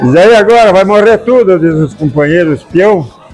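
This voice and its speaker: Faint music sits in the background as a man talks at a fairly slow pace. His intonation is lively. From southern Brazil. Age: 80s+. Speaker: cattle drover. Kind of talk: interview answer. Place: hall.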